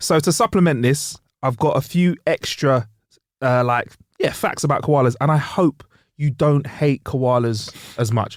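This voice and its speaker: Pitch varies in an ordinary way at a fairly slow pace, loudness very even, the sound dry and close with no echo in a very clean recording over a silent background. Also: man, fairly high pitch for a man. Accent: London. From London, England. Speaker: podcast co-host. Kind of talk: comedic casual chat. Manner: animated.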